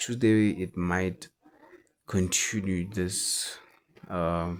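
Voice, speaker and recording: At a very slow pace, a man speaks with a non-native accent. His voice is very deep and low. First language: not English. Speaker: forex trader. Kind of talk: market analysis tutorial. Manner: halting.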